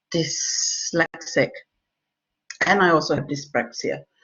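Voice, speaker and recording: Music plays in the background while the speech moves at a fairly slow pace. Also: woman. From Malaysia. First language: not English. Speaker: mature student. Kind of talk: personal testimony.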